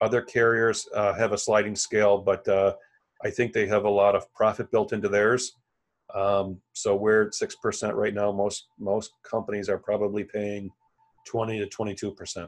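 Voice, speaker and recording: Against a quiet background, a speaker with an American accent talks at a moderate pace. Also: man. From central New York, Elmira. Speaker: supply chain consultant. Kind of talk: interview.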